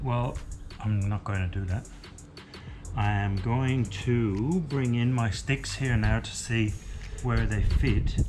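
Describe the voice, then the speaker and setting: Over clear background music, a man with a fairly low pitch speaks at a very slow pace with ordinary pitch variation and long, frequent pauses. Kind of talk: casual vlog chat. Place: workshop. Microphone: camera far.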